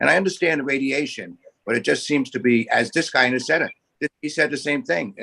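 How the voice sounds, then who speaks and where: A man with a New York accent talks at a very fast pace in a fairly high pitch, his bright, sharp tone and lively intonation caught in a dry, close sound with no echo. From Staten Island, New York. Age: 70s. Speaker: community board committee member. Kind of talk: public meeting discussion.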